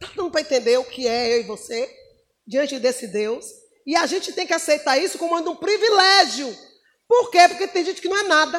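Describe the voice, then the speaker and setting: With an extremely high pitch and very wide pitch swings, a woman talks at a moderate pace in an animated tone. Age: 50s. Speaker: preacher. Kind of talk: sermon.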